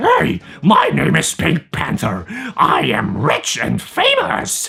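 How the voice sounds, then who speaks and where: A man puts on a raspy character voice and speaks very slowly. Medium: tutorial demo. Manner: loud, friendly but aggressive.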